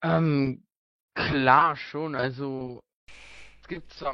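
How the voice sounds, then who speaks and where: A man talks with fairly even intonation. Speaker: let's player. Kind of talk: interview. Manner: hesitant, many fillers.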